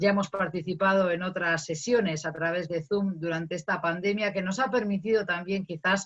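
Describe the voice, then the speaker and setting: In a Castilian accent, a woman talks at a moderate pace with hardly any pauses. Her medium pitch has fairly even intonation. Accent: Castilian Spanish, still noticeable. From Spain. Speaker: academic, migration researcher. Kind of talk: panel discussion. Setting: video call.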